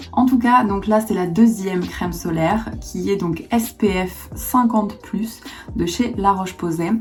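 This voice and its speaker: With music in the background, a woman speaks at a fairly slow pace and medium pitch, with ordinary pitch variation. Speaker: beauty youtuber. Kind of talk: product review.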